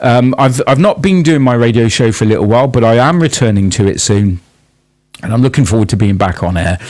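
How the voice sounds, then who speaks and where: Talking at a fairly quick pace, a man with a British accent uses a fairly low pitch and lively intonation. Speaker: music youtuber and radio presenter. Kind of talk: casual video monologue. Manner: halting.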